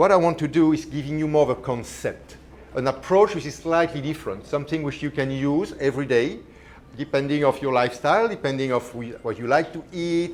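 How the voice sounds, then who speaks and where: A man with a strong Belgian accent speaks at a fairly quick pace. His pitch is fairly high, with ordinary variation. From Belgium. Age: 50s. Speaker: chef. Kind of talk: cooking demonstration. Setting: live demo with audience.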